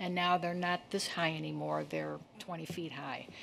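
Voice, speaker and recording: An unremarkable speaking voice, a woman's fairly low pitch comes at a moderate pace in a very clean recording with a silent background. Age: 60s. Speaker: resident speaking at public comment. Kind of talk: public comment at city council meeting. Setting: city council chamber.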